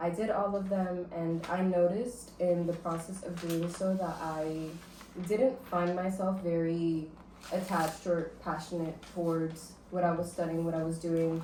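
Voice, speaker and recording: Amid audible room echo, a woman with an American accent speaks at a fairly slow pace in a fairly low voice with fairly even intonation. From US South, Miami, Florida. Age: 20s. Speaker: creative director. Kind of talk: casual interview.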